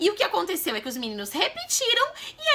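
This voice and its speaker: Over noticeable background noise, a woman speaks in a raised, projected voice with very wide pitch swings. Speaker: mom vlogger. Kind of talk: casual vlog talk to camera. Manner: fast.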